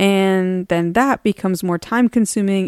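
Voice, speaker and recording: On a very clean recording with a silent background, a woman speaks in a plain, everyday voice at a medium pitch with ordinary pitch variation. The sound is dry and close with no echo, and her pace is fairly slow. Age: 40s. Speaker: podcast host, marketing professional and mother. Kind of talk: solo podcast monologue. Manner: earnest, personal.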